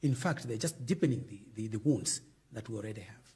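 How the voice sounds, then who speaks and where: Somewhat breathy and dark, mellow in tone, a man talks at a fairly quick pace. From Zambia. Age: 70s. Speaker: former politician. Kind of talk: interview.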